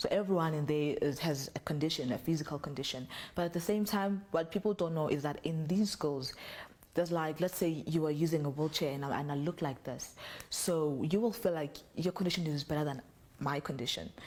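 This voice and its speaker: At a fairly quick pace, a woman speaks in a very deep, low voice with ordinary pitch variation. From South Africa, Soweto. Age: 20s. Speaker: model and content creator. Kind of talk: personal testimony interview.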